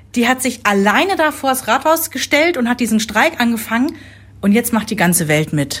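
Her pitch high for a woman and swinging very widely, a woman talks at a moderate pace. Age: 40s. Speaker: podcast host, mother. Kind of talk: casual chat.

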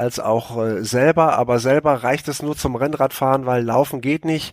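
Fairly high in pitch, a man uses a normal speaking voice at a fairly slow pace with ordinary pitch variation, the sound dry and close with no echo. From Münsterland, western Germany. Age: 50s. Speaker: TV sports reporter. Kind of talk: casual chat.

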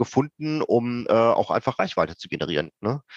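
A man talks at a medium pitch with ordinary pitch variation. The sound is dry and close with no echo, against a quiet background. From Ruhr area, Germany. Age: 40s. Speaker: startup founder and IT professional. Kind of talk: interview.

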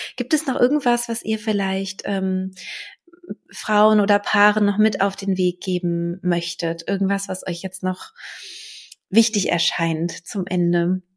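Speaking at a very slow pace, a woman uses a medium pitch and ordinary pitch variation. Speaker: podcast host, birth preparation coach. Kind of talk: casual interview.

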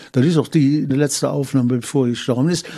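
A man with a Cologne accent, a fairly high pitch and fairly even intonation. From Cologne, Germany. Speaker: carnival historian and author. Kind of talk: interview recollection.

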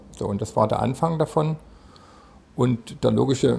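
A man's medium-pitched voice with vocal fry, ordinary pitch variation and a moderate pace. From Saxony, Chemnitz. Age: 60s. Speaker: company founder and CEO. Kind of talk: interview. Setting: company office.

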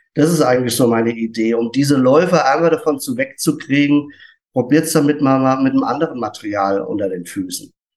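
In a plain, everyday voice, a man with a fairly high pitch talks at a fairly quick pace. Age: 50s. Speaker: barefoot shoe retailer. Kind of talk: casual chat.

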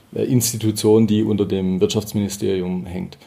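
Amid noticeable background noise, a man talks at a moderate pace with a fairly low pitch and fairly even intonation. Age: 30s. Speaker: auditor and tax advisor. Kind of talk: interview. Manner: hesitant, repeats words.

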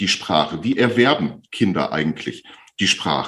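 A man's voice with very wide pitch swings. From Bielefeld, Germany. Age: 50s. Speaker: speech therapist. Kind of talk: interview.

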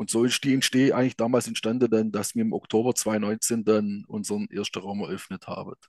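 Recorded with a dry, close sound and no echo, a man of medium pitch speaks at a moderate pace with fairly even intonation and hardly any pauses. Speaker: escape room operator. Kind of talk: interview.

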